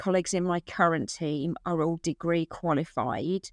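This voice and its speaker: A woman speaks at a moderate pace in an English accent. The sound is dry and close with no echo, over a quiet background. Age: 50s. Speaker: family support worker. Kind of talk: interview.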